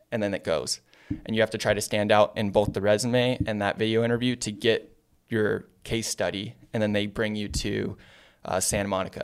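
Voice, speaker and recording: With a Californian accent, a man talks at a fairly low pitch in a monotone, flat way. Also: very clean recording, silent background. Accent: Californian American. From US West Coast, San Diego. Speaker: marketing agency founder. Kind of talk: casual interview. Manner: casual, filler-heavy.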